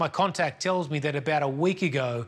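With an Australian accent, a man speaks at a fairly quick pace in a fairly high, somewhat breathy voice with ordinary pitch variation. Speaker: missions charity speaker. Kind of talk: sermon. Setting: pre-recorded video.

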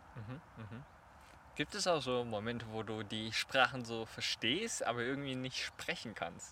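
A man speaks at a fairly slow pace in a bright, sharp tone. His pitch varies in an ordinary way. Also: medium pitch for a man. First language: Chinese (speaking German). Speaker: podcast host. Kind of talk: casual interview. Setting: outdoors in a park.

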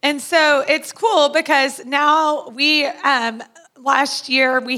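A woman with a high pitch and a bright, sharp tone raises and projects her voice, using ordinary pitch variation. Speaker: church planter. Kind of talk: testimony.

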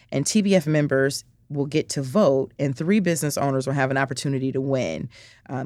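In a very clean recording with a silent background, a woman with an American accent speaks at a fairly quick pace in a very deep, low pitch, with vocal fry and ordinary pitch variation. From US Midwest, south side of Chicago. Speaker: nonprofit founder, business owner. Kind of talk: interview.

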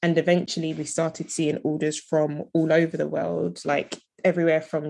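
A woman speaks in a very deep, low voice with a London accent, at a moderate pace. Her intonation stays flat and monotone over a quiet background. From London, England. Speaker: entrepreneur. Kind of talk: interview.

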